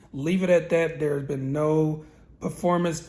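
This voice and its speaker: A man's somewhat breathy, fairly high-pitched voice, with fairly even intonation at a moderate pace. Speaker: car tuner and channel host. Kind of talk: casual tutorial. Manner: hesitant with fillers.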